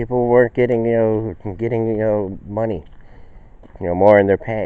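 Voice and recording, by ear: A man talks at a slow pace. His pitch is fairly low.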